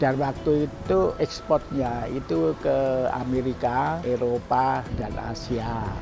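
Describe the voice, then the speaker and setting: Over music in the background, a man at medium pitch speaks very slowly with ordinary pitch variation and hardly any pauses. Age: 80s+. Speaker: business founder. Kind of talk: interview storytelling.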